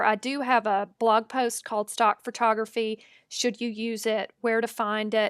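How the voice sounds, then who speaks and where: In a Southern US accent, a woman speaks at a moderate pace with a fairly high pitch. The recording is very clean and dry, close with no echo, over a silent background. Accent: Southern US accent, noticeable. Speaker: photographer and digital artist. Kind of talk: tutorial. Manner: casual, conversational.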